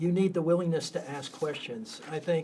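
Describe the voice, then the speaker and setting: In an ordinary speaking voice, a man with an American accent talks at a moderate pace, his fairly high pitch showing ordinary pitch variation. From United States. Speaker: long-term missionary. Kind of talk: conversational interview.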